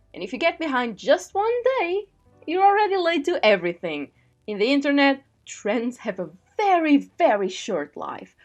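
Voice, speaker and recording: A woman's high voice at a moderate pace, with very wide pitch swings, big swings in loudness and music in the background. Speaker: digital artist. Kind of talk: casual voiceover rant over speedpaint.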